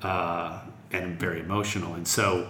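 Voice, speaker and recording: A man's voice carries audible room echo, and noticeable background noise sits behind it. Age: 40s. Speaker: music festival executive. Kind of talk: interview.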